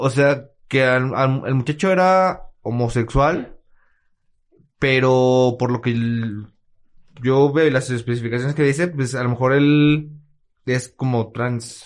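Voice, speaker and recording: A man speaks very slowly at a medium pitch. His intonation is fairly even, with long, frequent pauses. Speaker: podcast co-host. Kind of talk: casual chat. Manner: halting.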